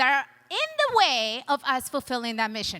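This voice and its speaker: Projecting her raised voice at a moderate pace, a woman with a non-native accent sounds animated, with a bright, sharp tone and very wide pitch swings. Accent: foreign. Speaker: chiropractor and motivational speaker. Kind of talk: conference talk. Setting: stage with audience.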